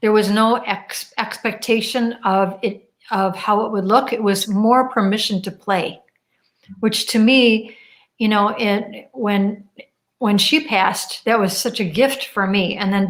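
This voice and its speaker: A woman speaks in a plain, everyday voice with a fairly high pitch. Her intonation stays fairly even, and her pace is fairly slow. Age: 60s. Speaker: radio host. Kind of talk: interview conversation.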